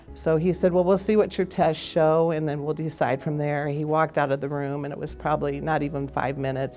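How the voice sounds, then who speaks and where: A woman talks at a moderate pace with very deep, low pitch and fairly even intonation. Noticeable background noise sits behind her. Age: 60s. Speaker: heart attack survivor. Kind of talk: testimony.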